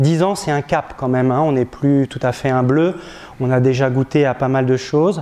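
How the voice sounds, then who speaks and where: A man with a medium pitch speaks at a moderate pace with fairly even intonation. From northern France, Picardy. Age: 40s. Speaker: parish priest. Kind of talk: testimony. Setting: diocesan gathering before an audience. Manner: hesitant, many filler sounds.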